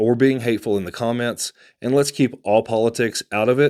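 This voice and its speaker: Recorded very cleanly against a silent background, a man with a Texan accent talks at a moderate pace in a medium pitch with fairly even intonation. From Texas. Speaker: real estate agent and channel host. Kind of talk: casual vlog address to camera.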